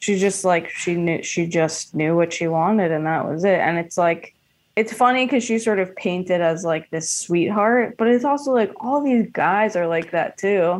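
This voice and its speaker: A woman with an ordinary speaking voice and an American accent, medium pitch with ordinary variation, moderate pace, hardly any pauses, quiet background. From New York City (Hell's Kitchen, Queens). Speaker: comedian. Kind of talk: casual chat.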